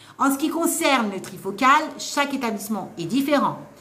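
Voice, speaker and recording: A woman speaks loudly at a high pitch, animated and at a fairly quick pace. Noticeable background noise and audible room echo fill the recording. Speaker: nursing assistant trainer and author. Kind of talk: live stream Q&A advice. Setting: live stream.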